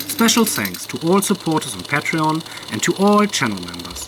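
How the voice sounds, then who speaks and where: Someone with a German accent speaks over noticeable background noise. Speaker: DIY engine builder and YouTuber. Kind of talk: channel announcement. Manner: formal.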